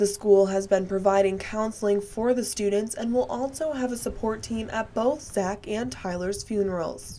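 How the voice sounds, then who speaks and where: A woman with a plain, everyday voice and an American accent, medium pitch, ordinary pitch variation, a moderate pace, and hardly any pauses. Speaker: TV news reporter. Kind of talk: TV news package voice-over.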